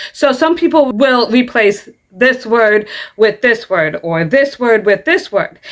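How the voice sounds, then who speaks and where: A woman with an American accent speaks fairly slowly in a high voice that makes very wide pitch swings. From US Midwest. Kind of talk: casual commentary to camera. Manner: sometimes stumbles over words.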